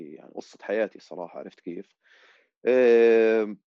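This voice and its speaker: At a fairly slow pace, a man talks in a dark, mellow tone with a fairly low pitch. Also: dry, close sound with no echo. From Amman, Jordan. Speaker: musician and music producer. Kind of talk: casual chat.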